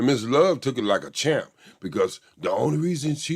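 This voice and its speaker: A man with a Southern US accent speaks at a moderate pace. His tone is animated. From US South. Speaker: YouTube commentator. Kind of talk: casual commentary on a court trial.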